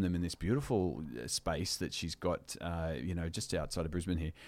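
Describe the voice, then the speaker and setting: In a very clean recording with a silent background, a man speaks with an Australian accent in a very deep, low pitch. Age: 40s. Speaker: reality TV contestant. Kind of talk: casual chat.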